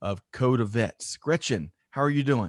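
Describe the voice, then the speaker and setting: Recorded very cleanly against a silent background, with a dry, close sound and no echo, a man with an American accent speaks in an unremarkable speaking voice at a moderate pace with ordinary pitch variation. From US South, South Carolina. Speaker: podcast host. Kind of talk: interview.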